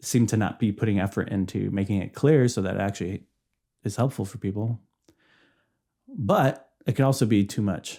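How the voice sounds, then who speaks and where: In a very clean recording with a silent background, a man with a fairly low pitch and a dark, mellow tone talks at a moderate pace with ordinary pitch variation, pausing often and at length. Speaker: podcast host, YouTuber, former youth minister. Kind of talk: casual solo podcast monologue. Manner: halting, many repetitions and false starts.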